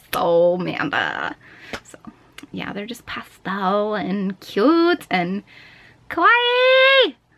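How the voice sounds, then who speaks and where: A woman speaks with noticeable background noise. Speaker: vlogger. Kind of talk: casual vlog chat. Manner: loud, projecting; animated.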